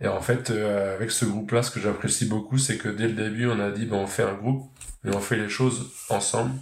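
Audible room echo surrounds the voice. The speaker goes at a fairly quick pace with fairly even intonation. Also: man, fairly low pitch for a man. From Normandy (Pays de Caux), France. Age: 30s. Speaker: farmer and agricultural trainer. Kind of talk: interview. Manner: hesitant, many fillers.

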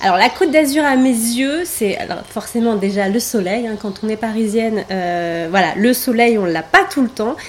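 Fairly slow, lively speech from a woman with a fairly high pitch. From Paris, France. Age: 30s. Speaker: massage therapist and wellness coach. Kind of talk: interview. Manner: hesitant, many fillers.

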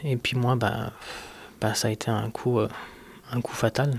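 A man with a medium pitch talks in a calm tone that is somewhat breathy. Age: 30s. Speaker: person living with multiple sclerosis. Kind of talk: personal testimony interview.

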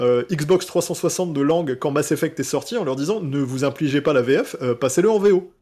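Fairly high-pitched, a man with a normal speaking voice and lively intonation is heard in a very clean recording over a silent background. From France, Alsace. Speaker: video game transmedia director. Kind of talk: casual chat.

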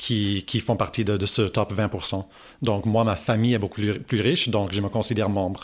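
Speaking at a moderate pace with an English accent, the voice stays flat and monotone at very even loudness in a very clean recording with a silent background. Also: man, fairly low pitch for a man. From Toronto, Canada. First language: English (speaking French). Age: 30s. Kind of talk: interview. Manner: halting, many repetitions.

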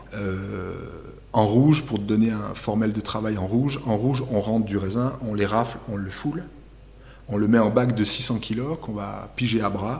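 A man speaks in a normal speaking voice, fairly low in pitch, with fairly even intonation. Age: 30s. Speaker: winemaker. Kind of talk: interview. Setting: winery.

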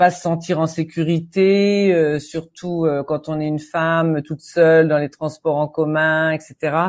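In a quiet background, a woman's voice comes across fairly low in pitch. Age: 60s. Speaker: English teacher. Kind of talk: interview.

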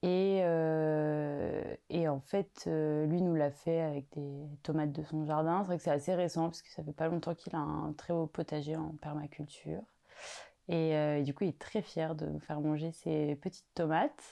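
A woman's very deep, low pitch in a dark, mellow tone, monotone and flat in intonation, at a fairly slow pace over a quiet background. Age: 20s. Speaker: home cook sharing recipe. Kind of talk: casual interview. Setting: home kitchen. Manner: hesitant, many fillers.

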